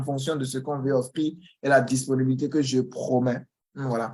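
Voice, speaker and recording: A man speaks at a moderate pace with a Beninese accent. His pitch sits fairly high. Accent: Beninese accent, noticeable to Ivorians. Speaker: Excel trainer. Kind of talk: online information session. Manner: halting, with repetitions.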